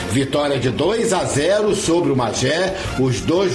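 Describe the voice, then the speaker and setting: A man with a high-pitched voice speaks with lively intonation over noticeable background noise, his words carrying audible room echo. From Angra dos Reis, Rio de Janeiro state, Brazil. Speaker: local radio sports host. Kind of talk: radio sports show with interviews.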